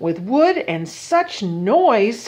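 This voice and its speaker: The pitch swings very widely. It is a put-on character voice. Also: woman, fairly high pitch for a woman. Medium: read story.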